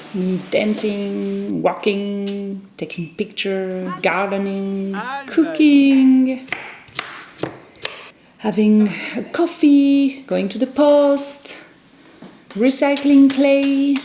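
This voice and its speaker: Speaking at a very slow pace with long, frequent pauses, the voice carries a French accent and lively intonation over noticeable background noise. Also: woman, fairly high pitch for a woman. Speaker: potter. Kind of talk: casual talk to camera.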